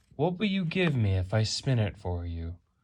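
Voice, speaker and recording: A man performs a put-on character voice with very wide pitch swings. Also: medium pitch for a man, moderate pace. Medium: read story. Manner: sly, bargaining.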